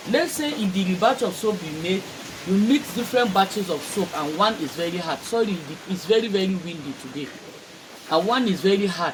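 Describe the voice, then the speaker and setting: A high-pitched male voice at a moderate pace, lively in intonation, with noticeable background noise. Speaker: soap maker. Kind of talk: tutorial. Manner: conversational, repeats for emphasis.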